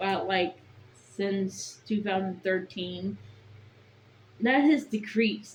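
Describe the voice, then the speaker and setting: A woman speaks very slowly in a medium, somewhat breathy pitch with ordinary variation, leaving long, frequent pauses. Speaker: vlogger. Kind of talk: casual monologue vlog. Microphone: bad audio, built-in mic.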